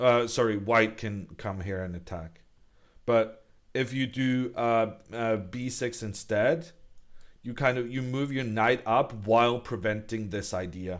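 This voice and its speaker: A man with a Norwegian accent speaks at a fairly slow pace in a medium pitch, with ordinary pitch variation. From Norway. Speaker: chess commentator. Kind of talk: live commentary. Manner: halting.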